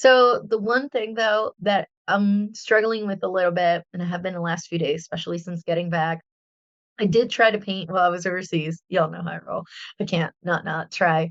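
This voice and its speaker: At a moderate pace, a woman speaks at a medium pitch with ordinary pitch variation, recorded dry and close with no echo. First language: Spanish. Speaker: artist and podcast host. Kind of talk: casual chat.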